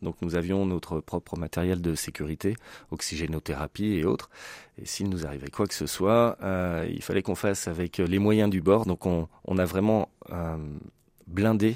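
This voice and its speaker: A man with a very deep, low voice speaks fairly slowly, with long, frequent pauses and ordinary pitch variation. The very clean recording has a silent background and a dry, close sound with no echo. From France, Lyon. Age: 40s. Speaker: commercial diver and association founder. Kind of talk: radio interview.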